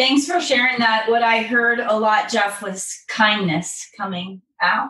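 This woman has a plain, everyday voice. Her pitch is fairly high, with ordinary pitch variation. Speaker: podcast co-host leading positive psychology exercises. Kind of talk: guided exercise and casual storytelling.

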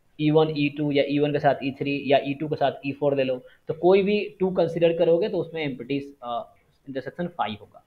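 A normal speaking voice from a man, fairly high in pitch, at a moderate pace with hardly any pauses, ordinary pitch variation and big swings in loudness. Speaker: statistics teacher. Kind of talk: online lecture.

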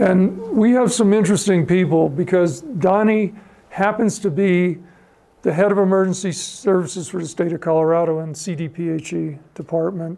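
This man's voice sits high for a man and has a dark, mellow tone. He moves at a moderate pace with ordinary pitch variation. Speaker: civil air patrol member and speaker; speaker. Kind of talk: history talk with audience questions. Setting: stage with audience. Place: hall.

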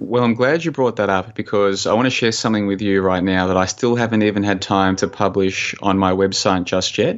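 Speaking with an Australian accent, a man has a fairly low pitch. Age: 30s. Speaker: conspiracy researcher and blogger. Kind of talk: interview conversation.

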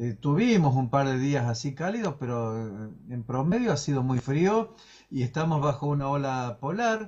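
The background is quiet as a man speaks at a fairly slow pace. His fairly high voice is somewhat breathy and swings very widely in pitch. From Córdoba, Argentina (Villa Dolores); Córdoba, Argentina. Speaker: meteorologist; guest. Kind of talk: live interview. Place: home room. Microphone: video call.

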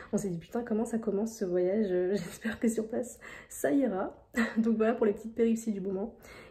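Against a quiet background, a woman speaks at a very fast pace in a somewhat breathy voice. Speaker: vlogger. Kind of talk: casual vlog chat. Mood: amused, self-mocking. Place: home room. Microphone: phone near.

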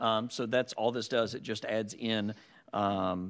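A man's fairly even intonation against a quiet background. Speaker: legislator, party leader. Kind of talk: legislative committee hearing. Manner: formal. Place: hall. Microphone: podium.

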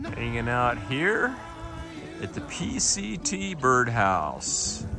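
A man's medium-pitched voice at a very slow pace, with very wide pitch swings, dry sound with no echo, and clear music in the background. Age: 60s. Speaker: thru-hiker. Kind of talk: casual vlog talk to camera. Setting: outdoors. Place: open country. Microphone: phone near.

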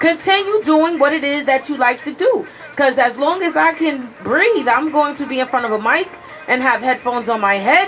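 Light background noise sits behind a woman who speaks at a moderate pace with lively intonation and a high pitch. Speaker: radio show co-host. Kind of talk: radio talk show commentary. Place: studio. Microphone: studio mic.

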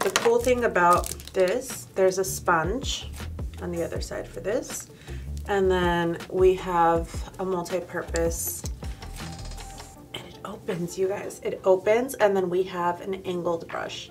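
Clear music plays in the background as a woman speaks at a fairly slow pace, with long, frequent pauses and big swings in loudness. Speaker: beauty vlogger. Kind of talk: casual product review chat. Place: studio.

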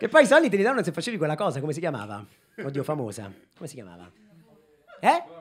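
An animated man talks at a very fast pace with a fairly high pitch, very wide pitch swings and big swings in loudness. His speech breaks up with long, frequent pauses. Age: 30s. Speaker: comedian. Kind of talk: stand-up. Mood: ironic, mock-nostalgic. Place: stage. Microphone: handheld.

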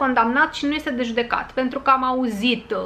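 A woman speaks in a raised, projected voice. Her pace is moderate. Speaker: vlogger. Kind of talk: casual vlog chat. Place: home room.

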